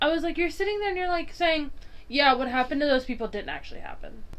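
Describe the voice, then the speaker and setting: In a Southern US accent, a woman speaks in an animated tone, her high voice making very wide pitch swings. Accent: Southern US accent, felt in back of throat. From US South. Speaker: podcast co-host. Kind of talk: casual chat.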